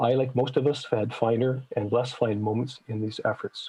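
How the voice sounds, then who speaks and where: A plain, everyday voice from a man with a Canadian accent, medium in pitch and fairly quick in pace. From Manitoba, Canada. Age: 60s. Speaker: citizen presenter at legislative committee. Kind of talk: public testimony to committee. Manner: formal.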